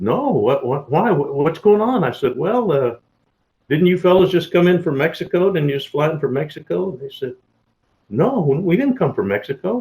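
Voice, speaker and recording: A man speaks at a high pitch with very wide pitch swings. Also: moderate pace. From Texas (Mesquite). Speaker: retired federal agent. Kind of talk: storytelling interview. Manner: animated, with many fillers and repetitions.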